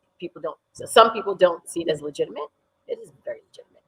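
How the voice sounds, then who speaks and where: At a fairly quick pace, a woman talks in a dry, close sound with no echo. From New York, US (from age 4-5; born in Sierra Leone). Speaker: dance teacher. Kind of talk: interview.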